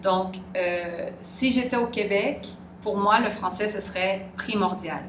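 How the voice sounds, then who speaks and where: Amid noticeable background noise and audible room echo, a woman speaks very slowly at a medium pitch. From Quebec. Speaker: interviewee. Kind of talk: interview. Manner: hesitant.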